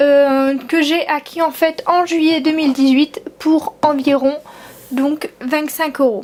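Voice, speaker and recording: Against noticeable background noise, a woman with a high pitch speaks at a very slow pace and very even loudness. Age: 20s. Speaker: collector of custom model horses. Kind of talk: casual talk to camera.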